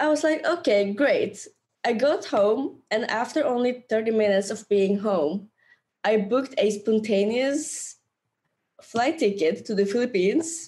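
Animated and with lively intonation, a woman speaks in a Norwegian accent. Her pitch is fairly high and her pace fairly slow. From Norway. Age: 20s. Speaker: travel YouTuber and entrepreneur. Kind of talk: casual interview chat. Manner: animated, laughs often.

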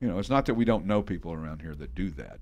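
Very wide swings in pitch and vocal fry from a male speaker. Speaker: podcast host. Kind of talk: casual podcast chat. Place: studio. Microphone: studio mic.

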